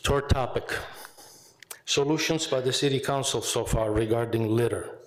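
At a moderate pace, a man speaks with a medium pitch, fairly even intonation and a somewhat breathy quality. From Italy. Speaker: retired teacher and veteran speaking at public comment. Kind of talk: public comment at a county legislature meeting. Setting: legislative chamber podium. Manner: halting, with fillers.

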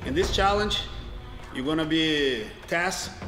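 Music plays in the background. The speaking pace is fairly slow. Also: man. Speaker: coach, show host. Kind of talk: instruction to competitors. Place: gym.

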